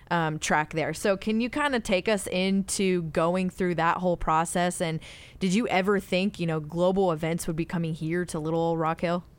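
Recorded very cleanly with a silent background, a woman with a plain, everyday voice speaks at a fairly low pitch and moderate pace, with ordinary pitch variation. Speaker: podcast host.

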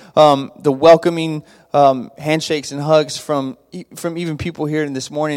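A man speaks in a normal speaking voice at a moderate pace. His pitch is fairly high, and his intonation is fairly even. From Texas, Abilene. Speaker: youth pastor. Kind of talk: church greeting talk. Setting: church with congregation.

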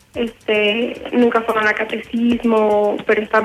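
Against noticeable background noise, a woman with a fairly high pitch talks in a monotone, flat intonation. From Mexico, Saltillo. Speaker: financial consultant. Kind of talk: casual chat.

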